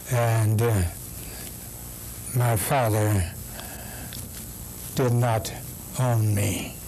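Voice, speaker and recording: In an American accent, a man with a medium-pitched voice talks very slowly, with fairly even intonation and long, frequent pauses. Noticeable background noise and audible room echo fill the recording. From US Midwest, Kansas City, Missouri. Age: 80s+. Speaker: Baptist pastor. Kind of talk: oral history interview.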